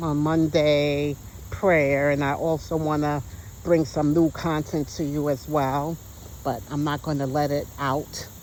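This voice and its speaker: A woman with a very deep, low voice speaks at a fairly slow pace with fairly even intonation. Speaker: vlogger. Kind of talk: casual vlog talk. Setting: outdoors in nature. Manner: stutters at times.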